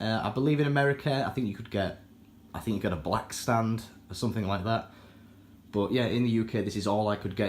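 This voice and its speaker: A man with a British accent, fairly low pitch, ordinary pitch variation and a fairly quick pace. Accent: British accent, self-described as terrible. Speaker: aquarium hobbyist YouTuber. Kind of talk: casual product review walkthrough. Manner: casual, with many fillers.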